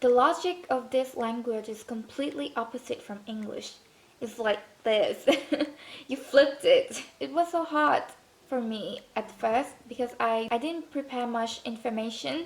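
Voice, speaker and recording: A fairly slow pace in a Thai accent, with ordinary pitch variation. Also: woman, high pitch for a woman. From Thailand. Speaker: student vlogger. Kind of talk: casual vlog talk.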